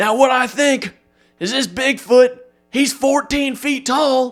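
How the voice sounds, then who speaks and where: A man speaks in a strained, put-on character voice with an extremely high pitch. His pace is fairly slow. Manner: exaggerated character voice.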